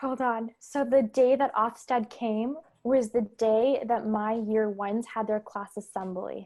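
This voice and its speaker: A woman's ordinary speaking voice in a Canadian accent, fairly high-pitched with fairly even intonation, at a fairly slow pace with hardly any pauses, on a very clean recording with a silent background. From Canada. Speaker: elementary school teacher. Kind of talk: casual podcast conversation.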